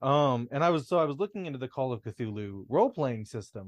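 Against a quiet background, a man speaks at a moderate pace and medium pitch with lively intonation in an ordinary speaking voice. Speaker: podcast co-host. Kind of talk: casual chat.

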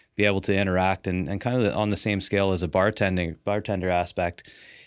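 Heard in a very clean recording with a silent background, a man with a Canadian accent and a very deep, low pitch speaks at a fairly quick pace in a monotone, flat delivery. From Ontario, Canada. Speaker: entrepreneur, farmer. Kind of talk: casual interview. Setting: studio.

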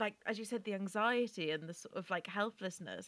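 With an English accent, a woman talks at a moderate pace in a fairly high pitch and a bright, sharp tone. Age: 20s. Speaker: podcast co-host. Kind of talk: casual chat.

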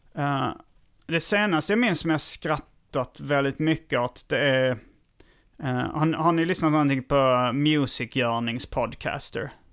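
In a normal speaking voice, a man talks at a fairly slow pace with fairly high pitch. The recording is very clean, with a silent background. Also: ordinary pitch variation. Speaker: comedian. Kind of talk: casual chat.

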